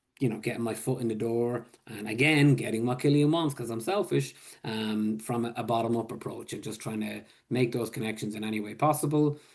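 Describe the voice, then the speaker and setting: With an Irish accent, a man speaks at a medium pitch and a fairly quick pace, using ordinary pitch variation. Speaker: public health supervisor. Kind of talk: webinar presentation. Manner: casual, filler-heavy.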